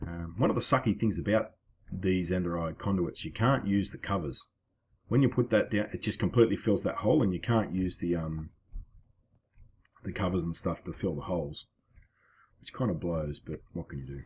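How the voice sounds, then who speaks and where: With an Australian accent, a man with a very deep, low pitch sounds somewhat breathy, using ordinary pitch variation and long, frequent pauses. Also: moderate pace. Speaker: gaming video creator. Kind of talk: gameplay commentary. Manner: casual.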